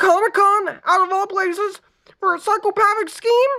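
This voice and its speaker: A woman uses a put-on character voice at an extremely high pitch. She keeps a moderate pace and fairly even intonation. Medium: read story. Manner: flippant, joking.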